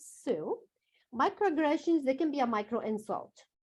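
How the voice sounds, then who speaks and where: Speaking with a non-native accent, a woman uses a high pitch. Her pitch swings very wide. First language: not English. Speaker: workshop presenter. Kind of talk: presentation.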